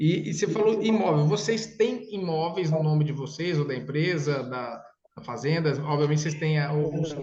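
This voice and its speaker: With audible room echo around him, a man speaks at a moderate pace in a fairly high pitch with ordinary pitch variation. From interior of São Paulo state, Brazil. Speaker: consortium sales consultant. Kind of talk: sales consultation with a client. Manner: casual, enthusiastic.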